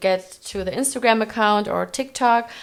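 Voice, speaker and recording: With a non-native accent, a woman speaks at a moderate pace with ordinary pitch variation. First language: not English. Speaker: fashion creative director. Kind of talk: casual interview.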